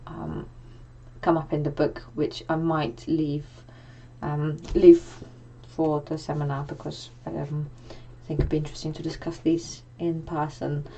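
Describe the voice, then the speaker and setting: A woman with a very deep, low voice talks at a fairly slow pace while audible room echo surrounds her. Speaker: lecturer. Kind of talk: lecture. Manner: halting, many fillers.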